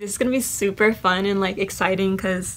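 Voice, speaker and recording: There's noticeable background noise as a woman talks at a moderate pace. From Mexico. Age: 20s. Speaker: YouTuber. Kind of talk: casual talk to camera. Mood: relaxed, cheerful. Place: home room. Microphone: phone near.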